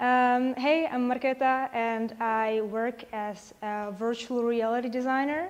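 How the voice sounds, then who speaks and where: A woman speaks with a Czech accent at a fairly high pitch. Her intonation stays fairly even. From Czechia. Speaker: virtual reality designer. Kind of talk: conference talk.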